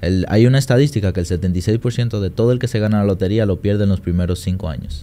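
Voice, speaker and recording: This man's pitch is fairly low, with ordinary pitch variation. He talks at a very fast pace. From Dominican Republic. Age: 20s. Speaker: trader and trading mentor; podcast guest. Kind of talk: interview. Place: studio. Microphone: studio mic.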